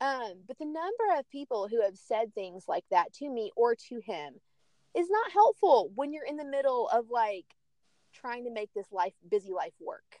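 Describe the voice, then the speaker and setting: This woman's high-pitched voice moves at a moderate pace with very wide pitch swings, in a dry, close sound with no echo. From Tennessee (Chattanooga). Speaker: pilot's wife and mother of young children. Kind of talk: casual chat.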